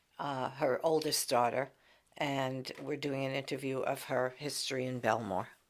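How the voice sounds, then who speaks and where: A woman with a New York accent speaks at a moderate pace in a very deep, low pitch, her intonation fairly even. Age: 60s. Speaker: interviewer, family member. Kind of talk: oral history interview. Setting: library recording booth.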